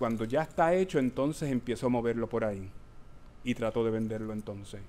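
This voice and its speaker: A man's dark, mellow voice at medium pitch, fairly quick, with ordinary pitch variation. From Puerto Rico. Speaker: performance artist and educator. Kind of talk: performative lecture with Q&A. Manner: hesitant, many fillers.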